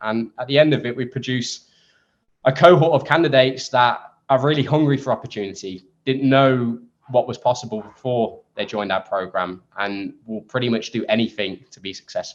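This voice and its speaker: Man with an English accent at medium pitch, fairly quick pace and ordinary pitch variation. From England. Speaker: startup co-founder. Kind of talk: interview. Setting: podcast.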